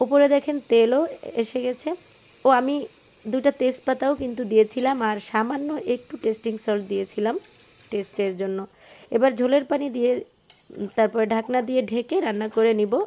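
A woman's high-pitched voice with a dark, mellow tone and ordinary pitch variation. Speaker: cooking vlogger. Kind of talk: cooking tutorial.

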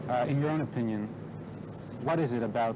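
Noticeable background noise runs under a man speaking very fast. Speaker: rabbi and program host. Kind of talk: moderated group discussion. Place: garden.

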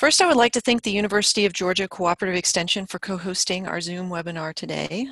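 Very fast speech from a woman, in a dry sound with no echo. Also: quiet background. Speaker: webinar host. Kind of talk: webinar introduction. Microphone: video call.

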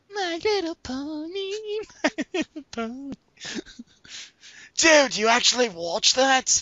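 The speaker's high-pitched voice moves at a fairly slow pace, broken by long, frequent pauses.

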